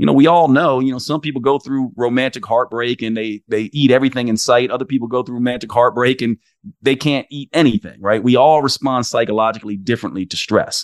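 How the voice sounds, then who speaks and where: A man with an American accent talks at a very fast pace with hardly any pauses, his pitch medium and its variation ordinary. The sound is dry and close with no echo, over a quiet background. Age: 50s. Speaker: naturopathic doctor and podcast host. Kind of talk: interview conversation.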